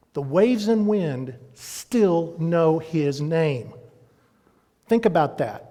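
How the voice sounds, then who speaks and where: Through audible room echo, a man with a Texan accent talks at a very slow pace, his high pitch paired with a dark, mellow tone and lively intonation. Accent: Texan American. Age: 60s. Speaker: pastor. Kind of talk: sermon. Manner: animated.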